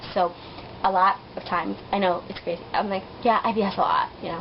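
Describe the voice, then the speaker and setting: A woman at a medium pitch, animated in tone, at a fairly quick pace. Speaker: vlogger. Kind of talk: casual vlog storytelling. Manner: fast.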